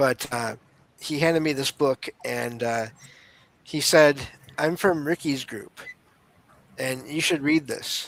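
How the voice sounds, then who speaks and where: The sound is dry and close with no echo as a man with a Michigan accent talks at a fairly slow pace. His pitch is fairly high, with ordinary pitch variation. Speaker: podcaster, paranormal experiencer. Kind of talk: interview storytelling. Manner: halting, repeats words.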